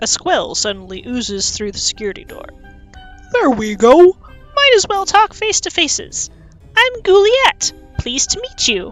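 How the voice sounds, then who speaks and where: With faint music in the background, a woman uses a put-on character voice at an extremely high pitch and a moderate pace. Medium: game stream.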